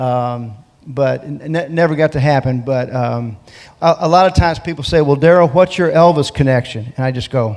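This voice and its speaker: At a moderate pace, a man with an American accent speaks in an ordinary speaking voice at a fairly high pitch with ordinary pitch variation. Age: 60s. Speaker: gospel singer. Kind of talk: interview.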